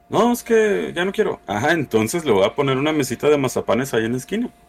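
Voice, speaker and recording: Over noticeable background noise, a man with a Mexican accent talks at a very fast pace, fairly high in pitch, with very wide pitch swings. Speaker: podcast host. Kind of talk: casual chat.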